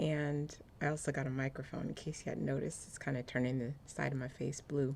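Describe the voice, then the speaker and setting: Soft-spoken and showing vocal fry, the woman has a very deep, low pitch and fairly even intonation. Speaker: apparel designer and lifestyle vlogger. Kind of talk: casual vlog talk to camera. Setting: cold room at home. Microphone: new external microphone.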